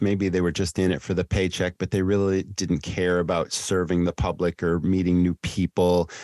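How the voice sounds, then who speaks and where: A man's very deep, low voice at a moderate pace, dry and close with no echo, on a very clean recording with a silent background. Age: 60s. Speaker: restaurant consultant and trainer. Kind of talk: casual interview chat.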